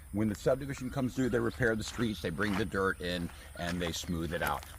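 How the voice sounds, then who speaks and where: A man's fairly low, somewhat breathy voice at a very fast pace, with very wide pitch swings. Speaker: land salesman. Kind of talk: property walkthrough video. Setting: outdoors.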